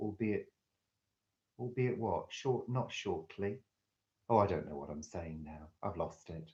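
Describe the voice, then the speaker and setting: Somewhat breathy, a man speaks at a fairly slow pace with a fairly low pitch and lively intonation. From northwest England. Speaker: live-stream host. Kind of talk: live chat reading viewer comments. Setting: live stream. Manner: clear, careful enunciation.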